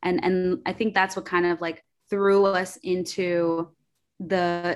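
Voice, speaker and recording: With a New York accent, the speech comes through on a very clean recording with a silent background. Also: woman. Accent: New York American English. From New York, Queens. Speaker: entrepreneur. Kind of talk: casual chat.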